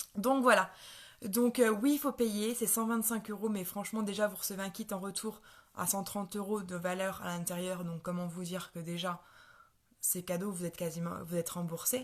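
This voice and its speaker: Somewhat breathy, a woman's voice moves at a moderate pace with ordinary pitch variation. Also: medium pitch for a woman. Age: 20s. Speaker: network marketing seller. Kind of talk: sales pitch. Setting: live stream. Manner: halting, many fillers and repetitions.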